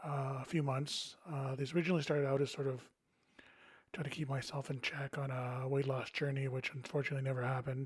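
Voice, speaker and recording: A somewhat breathy man at a very fast pace, fairly high pitch and monotone, flat intonation. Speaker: board game youtuber. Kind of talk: casual monologue with gameplay. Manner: rambling, hesitant with fillers.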